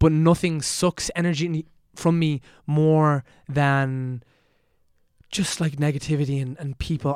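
A man's fairly high, slightly mellow voice with fairly even intonation, in a very clean recording with a silent background.

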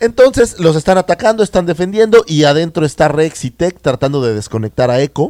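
Talking at a fairly quick pace with hardly any pauses, a man with a Mexican accent has a dark, mellow tone, a fairly high pitch and very wide pitch swings. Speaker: podcast co-host. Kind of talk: casual chat.

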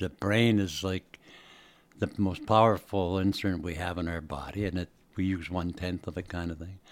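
Speaking with a very deep, low pitch, a man keeps a moderate pace and fairly even intonation on a very clean recording with a silent background. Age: 80s. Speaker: person living with Alzheimer's, retired university speaker. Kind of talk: casual interview. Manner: halting, loses words at times.

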